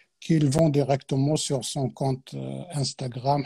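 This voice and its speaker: A dark, mellow, somewhat breathy voice at a very slow pace. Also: man. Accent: Arabic. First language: Arabic (speaking French). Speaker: Quran teacher. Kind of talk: religious talk on a live stream. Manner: hesitant, many fillers.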